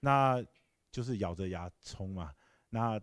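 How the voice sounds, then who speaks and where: A man with an unremarkable speaking voice talks at a medium pitch with lively intonation against a quiet background. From Taiwan. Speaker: tech company founder and CEO; guest. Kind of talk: Q&A answers. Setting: lecture hall with audience. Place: hall. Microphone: handheld.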